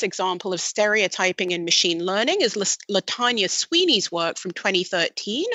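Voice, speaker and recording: A woman with a British accent, hardly any pauses, and noticeable background noise. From Britain. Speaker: machine learning researcher. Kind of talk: podcast interview.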